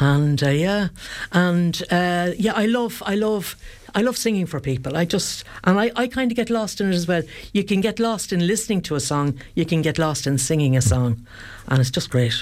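With an Irish accent, a woman speaks at a moderate pace in a fairly low pitch, her voice making very wide pitch swings. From Ireland, County Kildare. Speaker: singer. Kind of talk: radio interview. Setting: studio.

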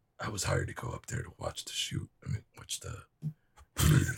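A man's raspy, put-on character voice at medium pitch and a fairly quick pace. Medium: actual play. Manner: terse.

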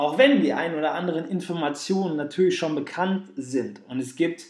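This is a man with an ordinary speaking voice. His pitch is fairly high. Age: 20s. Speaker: podcast host and sports scientist. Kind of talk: solo podcast monologue.

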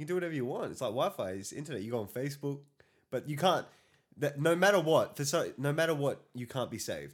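Against a silent background in a very clean recording, a man speaks at a very fast pace. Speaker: podcast co-host. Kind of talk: casual banter podcast chat. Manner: joking, banter-heavy.

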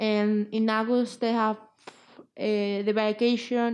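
Speaking with a Spanish accent over a quiet background, a woman keeps a fairly high pitch and fairly even intonation. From Spain. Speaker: guest with Asperger's. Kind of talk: interview. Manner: halting.

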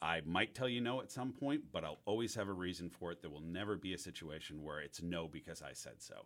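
A man with an American accent speaks in a very deep, low pitch with lively intonation. He goes at a fairly quick pace with hardly any pauses. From US Northeast, New York City. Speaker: head brewer. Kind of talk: interview.

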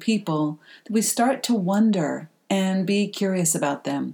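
A woman with a normal speaking voice, medium in pitch, with ordinary pitch variation. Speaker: podcast host and coach. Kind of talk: podcast intro and outro.

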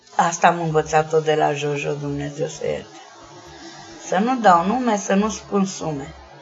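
Over noticeable background noise, a woman speaks at a fairly slow pace with a very deep, low pitch. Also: ordinary pitch variation. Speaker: sex worker and activist. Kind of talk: interview.

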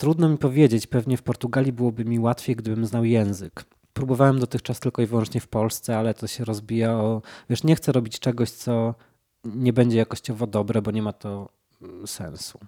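This man speaks in a normal speaking voice at medium pitch, fairly quick, with fairly even intonation and a dry, close sound with no echo. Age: 30s. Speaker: painter. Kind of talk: casual chat.

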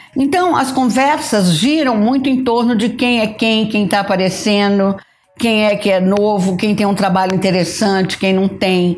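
A plain, everyday voice, a woman's medium pitch comes with ordinary pitch variation and very even loudness. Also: moderate pace. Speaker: photographer. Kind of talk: interview.

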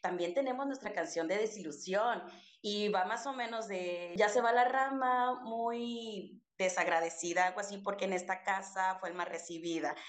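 Audible room echo surrounds a woman speaking at a moderate pace. Her pitch is medium and her intonation lively. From Mexico, Chiapas (Soconusco coast). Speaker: podcast co-host, teacher. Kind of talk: casual chat.

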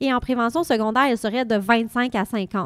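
Recorded very cleanly against a silent background, with a dry, close sound and no echo, a woman speaks in an ordinary speaking voice, fairly high in pitch, at a moderate pace with ordinary pitch variation. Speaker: hospital pharmacist. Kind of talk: interview.

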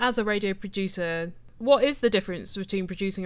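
A woman's medium-pitched voice, with ordinary pitch variation, is captured on a very clean recording with a silent background. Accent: British. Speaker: interviewer, podcaster. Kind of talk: interview. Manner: witty, jokey.

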